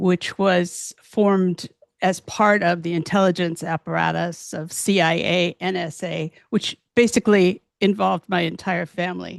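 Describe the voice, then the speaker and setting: Using vocal fry and fairly even intonation, a woman speaks at a fairly low pitch and a fairly slow pace, the sound dry and close with no echo. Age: 70s. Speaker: author and physician, abuse survivor. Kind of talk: interview.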